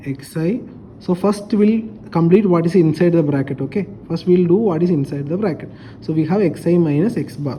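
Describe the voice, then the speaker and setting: Moderate pace against noticeable background noise. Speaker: statistics teacher. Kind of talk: lecture.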